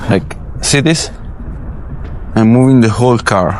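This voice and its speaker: A man at a fairly slow pace, ordinary pitch variation, noticeable background noise. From Italy. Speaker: film grip. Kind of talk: tutorial. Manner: casual, halting.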